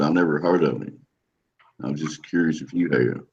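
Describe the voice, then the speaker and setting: Music plays in the background as a man speaks. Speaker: flat earth hangout participant. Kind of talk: casual chat. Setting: video call.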